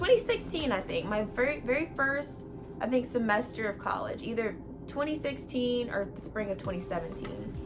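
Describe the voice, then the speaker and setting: Over music in the background and audible room echo, a woman with an American accent speaks at a high pitch and a moderate pace. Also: lively intonation. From US, hot warm state. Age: 20s. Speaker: youtuber. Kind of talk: casual vlog talk. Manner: hesitant with fillers and repeats.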